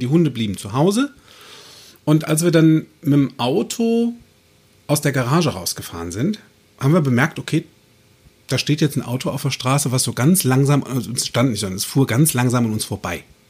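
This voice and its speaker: A man with a fairly high pitch and a somewhat breathy voice talks at a fairly quick pace, pausing long and often. His pitch swings very widely on a very clean recording with a silent background. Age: 40s. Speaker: podcast host and coach. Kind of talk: casual chat. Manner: animated.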